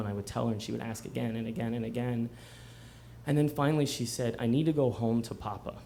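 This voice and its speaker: Talking at a very fast pace, a man with a medium-pitched voice is heard over noticeable background noise. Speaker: storyteller. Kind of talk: live storytelling performance. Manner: conversational, comedic.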